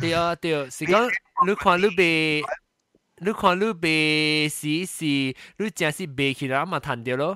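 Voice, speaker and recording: A man's fairly high voice has a bright, sharp tone and ordinary pitch variation. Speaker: podcast host. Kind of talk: casual chat. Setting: video call.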